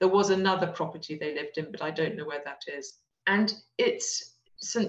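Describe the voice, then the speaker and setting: Somewhat breathy, a woman speaks with an English accent. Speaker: descendant of a historical figure. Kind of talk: interview.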